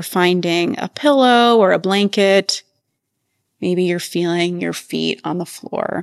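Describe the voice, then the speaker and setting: A woman with an unremarkable speaking voice talks at medium pitch with ordinary pitch variation over a quiet background. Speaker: research professor and yoga teacher. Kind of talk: guided meditation. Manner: slow, calm, soothing; gentle, measured, with long pauses.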